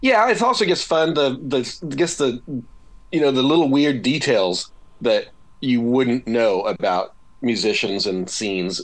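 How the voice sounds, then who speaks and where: This man has an American accent and a medium pitch. He talks fairly slowly, with very wide pitch swings. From Seattle, US Pacific Northwest. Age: 50s. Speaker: rock guitarist and author. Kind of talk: interview.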